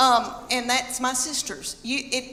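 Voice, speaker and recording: A woman's high-pitched, raised and projected voice with a Southern US accent, over noticeable background noise. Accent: Southern American. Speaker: stand-up comedian. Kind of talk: stand-up comedy set.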